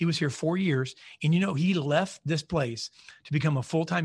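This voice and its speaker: A somewhat breathy man's voice at a fairly quick pace, ordinary pitch variation, quiet background. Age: 40s. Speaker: marketing CEO and podcast host. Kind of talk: casual interview chat. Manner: halting, many fillers.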